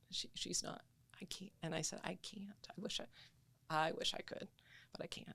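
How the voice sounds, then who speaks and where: The woman is whispering. She keeps a moderate pace, broken by long, frequent pauses. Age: 70s. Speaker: patient sharing illness journey. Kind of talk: testimony.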